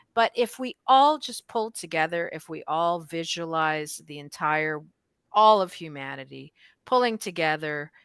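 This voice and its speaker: Lively intonation and big swings in loudness mark a normal speaking voice at a fairly slow pace, dry and close with no echo on a very clean recording with a silent background. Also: woman, fairly low pitch for a woman. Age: 60s. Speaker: Reiki master teacher and clergy host. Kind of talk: casual spiritual discussion. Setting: livestream.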